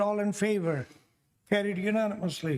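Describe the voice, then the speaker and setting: Here a man speaks at a moderate pace with a high pitch and ordinary pitch variation. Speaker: mayor chairing city council meeting. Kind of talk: council meeting chairing.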